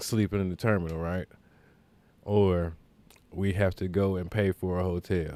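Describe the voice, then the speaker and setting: In a very clean recording with a silent background, a man with a very deep, low pitch and a dark, mellow tone speaks at a moderate pace with long, frequent pauses. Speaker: podcast host. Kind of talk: casual storytelling monologue. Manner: animated; stuttering at times.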